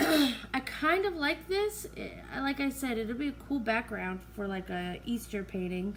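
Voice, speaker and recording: A woman speaks fairly slowly, and noticeable background noise can be heard behind her. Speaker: acrylic pour artist YouTuber. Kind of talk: casual tutorial commentary. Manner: quiet.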